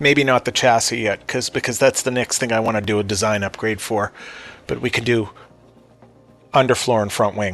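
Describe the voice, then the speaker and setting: Music plays in the background as a man speaks at a medium pitch. His intonation is fairly even, with long, frequent pauses. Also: fairly quick pace. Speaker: gaming video creator. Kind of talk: gameplay commentary. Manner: halting, stuttering; casual, thinking aloud.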